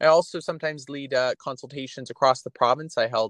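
In a Canadian accent, a man with an unremarkable speaking voice and ordinary pitch variation is heard in a dry, close sound with no echo against a quiet background. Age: 20s. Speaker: provincial politician. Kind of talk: interview.

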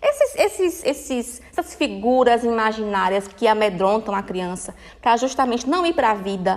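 Speaking at a moderate pace with hardly any pauses, this woman has a fairly high pitch. Her tone is animated and her intonation lively. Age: 30s. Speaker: podcast host. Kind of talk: solo talk, informal self-help lecture.

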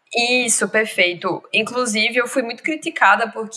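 A woman's fairly high voice at a fairly slow pace amid noticeable background noise. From Pernambuco, Brazil (Zona da Mata Norte). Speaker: literature graduate. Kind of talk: casual chat.

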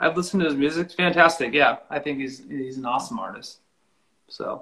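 A man's fairly high-pitched voice with an American accent, bright and sharp in tone with vocal fry, lively intonation and a moderate pace. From Lakewood, Washington, US Pacific Northwest. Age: 40s. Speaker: country musician. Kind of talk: casual interview chat.

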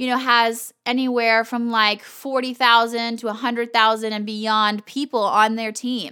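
A bright, sharp, animated tone on a very clean recording with a silent background. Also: woman. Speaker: podcast host. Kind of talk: casual motivational monologue; informal guided visualization, eyes-closed reflection prompts. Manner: animated, fired up, frequent laughs and fillers; gentle, slowed, inviting pace with soft laughs while guiding.

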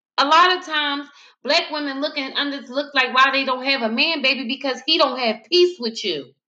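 A woman speaks in a raised, projected voice at a moderate pace. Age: 30s. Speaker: podcast host. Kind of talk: casual discussion. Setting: live stream.

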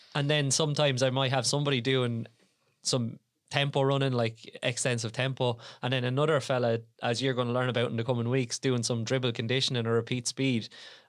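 Speaking very fast in an Irish Midlands accent, the voice holds a very even loudness and a monotone, flat intonation. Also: man, medium pitch for a man, very clean recording, silent background. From Ireland, Tipperary. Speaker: podcast host, strength and conditioning coach. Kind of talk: casual chat.

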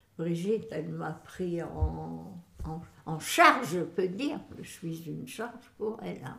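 Audible echo fills the room. A woman talks at a very slow pace. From northern France, Boulogne-sur-Mer. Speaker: great-grandmother interviewee. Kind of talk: casual family interview.

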